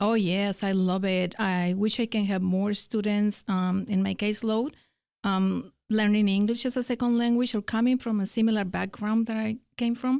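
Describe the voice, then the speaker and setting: A woman speaks at a medium pitch with a Spanish accent and fairly even intonation. Her loudness stays very even, and the recording is very clean with a silent background. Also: moderate pace. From Mexico. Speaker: academic success coach. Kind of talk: interview. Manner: hesitant, many fillers.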